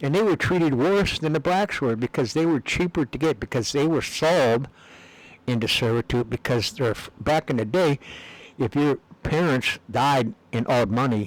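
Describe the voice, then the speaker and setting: In a dry, close sound with no echo, a man with an American accent and a medium pitch talks at a moderate pace with lively intonation and very even loudness. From US Upper Midwest, Minneapolis. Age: 60s. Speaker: video blogger. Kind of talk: casual monologue. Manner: halting, many fillers.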